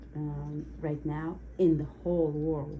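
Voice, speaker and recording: Someone with an Uzbek accent speaks at a very slow pace, with audible room echo. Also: woman. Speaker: cake decorator taking a mock speaking test. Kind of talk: mock language exam answers. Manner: halting.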